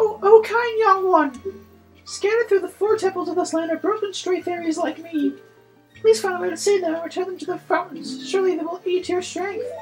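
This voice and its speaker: A man uses a put-on character voice pitched extremely high, at a fairly quick pace. Faint music plays in the background. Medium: game stream. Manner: gentle, pleading.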